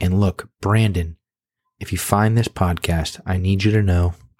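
An unremarkable speaking voice moves at a fairly slow pace with fairly even intonation. The sound is dry and close with no echo. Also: man. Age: 30s. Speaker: fantasy football podcaster. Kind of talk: comedic monologue.

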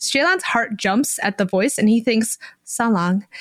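Reading in a natural voice, quiet setting behind it

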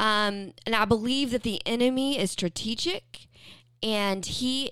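The woman talks very slowly in an American accent. The recording is very clean, with a silent background. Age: 40s. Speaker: podcast host, counselor and minister. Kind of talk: devotional talk, sermon-like. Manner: animated, preaching.

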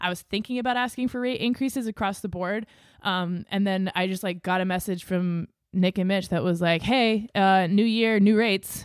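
A woman speaks with an American accent in an unremarkable speaking voice at a medium pitch. Her intonation is fairly even and her pace moderate. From US Northeast, New Hampshire seacoast. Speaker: audio engineer and podcast producer. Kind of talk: casual chat.

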